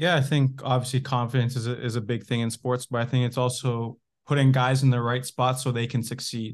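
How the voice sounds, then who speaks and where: A man's medium-pitched, flat, monotone delivery with a Canadian accent, fairly quick, over a quiet background. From Canada. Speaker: professional footballer. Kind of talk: casual chat.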